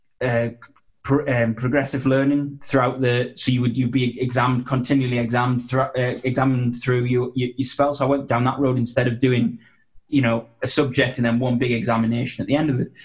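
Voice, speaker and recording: This man's voice sits at a medium pitch and comes through somewhat breathy. His intonation is flat and monotone, and his loudness stays very even. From northeast England. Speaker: sports officiating business founder. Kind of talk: interview. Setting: video call. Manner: halting, repeats words.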